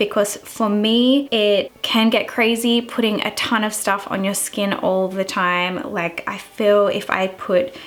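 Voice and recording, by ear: A woman's medium-pitched voice at a fairly slow pace, with little pitch movement and few pauses.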